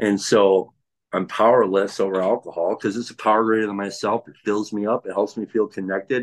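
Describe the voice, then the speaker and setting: Speaking at a moderate speed, a man uses a fairly low pitch. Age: 30s. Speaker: recovered alcoholic and tile worker. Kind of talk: casual chat. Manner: halting.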